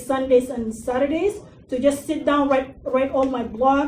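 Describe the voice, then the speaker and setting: A woman speaks with an Arabic accent, her pitch high. She keeps a moderate pace and fairly even intonation. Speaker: digital marketing consultant and workshop speaker. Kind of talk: workshop presentation. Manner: casual, with fillers.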